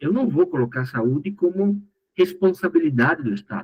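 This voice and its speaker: At a moderate pace, a man with a Paraguayan accent speaks in a somewhat breathy voice. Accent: Paraguayan accent in Portuguese, noticeable. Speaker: course instructor. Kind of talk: lecture.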